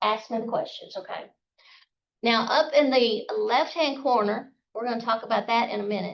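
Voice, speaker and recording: A woman with a Southern US accent speaks at a moderate pace in a fairly high pitch. Her loudness swings a lot. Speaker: calligraphy instructor. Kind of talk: workshop tutorial. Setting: outdoors, live class. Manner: casual.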